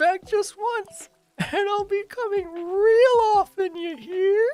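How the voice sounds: Over faint music in the background, a female-sounding voice in a put-on character voice speaks at an extremely high pitch and a fairly slow pace.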